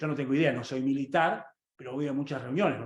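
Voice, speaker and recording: The man's voice sits at a fairly high pitch. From Argentina. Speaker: economist. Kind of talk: lecture. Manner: fast; animated.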